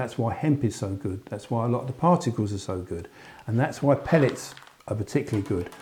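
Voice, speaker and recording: The speaker has lively intonation and talks in a London accent. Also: man. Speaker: angler. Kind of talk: interview. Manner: hesitant fillers.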